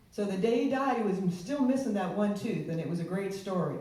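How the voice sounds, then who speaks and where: A woman with an American accent speaks over noticeable background noise, and the room echo is audible. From Virginia (Shenandoah Valley). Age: 60s. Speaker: political candidate. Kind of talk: campaign speech. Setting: public event with audience. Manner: casual, unscripted.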